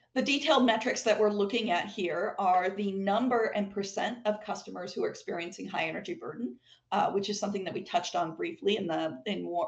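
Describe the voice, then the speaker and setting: A woman talks at a fairly quick pace with a medium pitch. Her intonation is lively. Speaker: utility presenter. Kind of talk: online public meeting presentation. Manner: fast; halting, many fillers.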